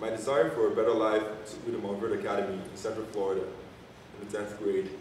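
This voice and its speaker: Amid audible room echo and noticeable background noise, a man talks at a fairly quick pace. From Nigeria, Enugu. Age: 20s. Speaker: college student and basketball player. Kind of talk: prepared speech to an audience. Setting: church fundraiser event.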